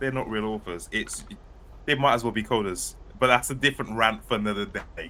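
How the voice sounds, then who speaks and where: Speaking at a fairly quick pace with a British accent, the voice shows ordinary pitch variation. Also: man. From United Kingdom. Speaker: author and podcast co-host. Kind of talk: casual chat. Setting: live stream.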